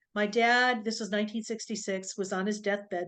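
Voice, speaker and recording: The delivery is monotone, with flat intonation, at a moderate pace. The background is quiet. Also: woman. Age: 60s. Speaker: doctor and intuitive healer. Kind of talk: interview, personal story.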